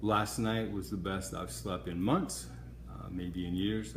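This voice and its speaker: A man with a very deep, low pitch and vocal fry swings his pitch very widely. Audible room echo surrounds his voice. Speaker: cancer patient. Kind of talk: video diary update. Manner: slightly halting.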